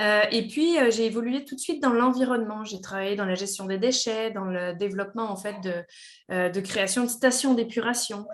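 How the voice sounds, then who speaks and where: The speaker goes at a moderate pace. Pitch variation is ordinary. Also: woman. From France. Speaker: engineer and company director. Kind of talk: podcast interview. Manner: hesitant, many fillers.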